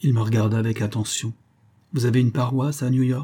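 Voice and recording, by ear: The voice is reading aloud in a natural voice with fairly even intonation.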